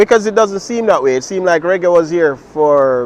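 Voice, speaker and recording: A man speaks with a Jamaican accent at a moderate pace. His pitch is fairly high. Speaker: dub poet. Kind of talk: interview answer.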